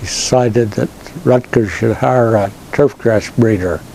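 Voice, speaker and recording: Noticeable background noise is audible throughout. Intonation remains fairly even. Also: man. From US Mountain West (rural Utah). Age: 80s+. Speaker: professor and plant breeder. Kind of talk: interview. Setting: trade expo. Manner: halting, frequent uh fillers.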